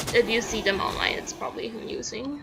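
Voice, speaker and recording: A woman speaks fairly quickly while noticeable noise runs in the background. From Canada. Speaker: video game streamer. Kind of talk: casual live-stream chat. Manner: halting, repeats words.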